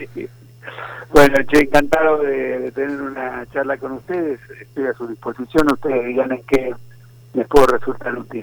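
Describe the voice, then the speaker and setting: Over noticeable background noise, a man with a medium pitch speaks in a monotone, flat intonation at a moderate pace, his loudness swinging widely. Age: 70s. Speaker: historian and writer. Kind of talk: interview.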